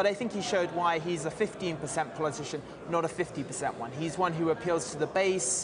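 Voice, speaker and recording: At a moderate pace and with fairly even intonation, a man speaks in a high pitch over noticeable background noise. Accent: British. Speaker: political journalist. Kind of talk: live TV interview. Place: hall. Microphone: lapel.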